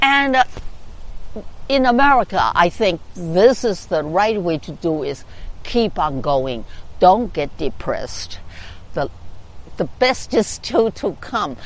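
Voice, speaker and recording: With vocal fry and very wide pitch swings, a woman speaks at a fairly slow pace, leaving long, frequent pauses. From China. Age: 80s+. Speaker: community organizer. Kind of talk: interview. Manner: halting, with frequent fillers.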